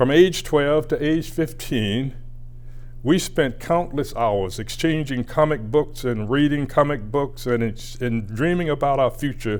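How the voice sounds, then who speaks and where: At a fairly slow pace, a man with a Southern US accent speaks at a medium pitch. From US South, rural Georgia. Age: 80s+. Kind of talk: prepared acceptance speech. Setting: recorded address for award. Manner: measured, formal delivery.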